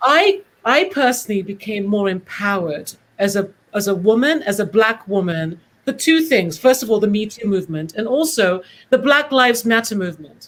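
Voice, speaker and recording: With a British accent, a woman speaks in a fairly high pitch. Her pace is moderate and her intonation lively. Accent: British, proper. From Britain. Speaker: casting director. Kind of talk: panel discussion.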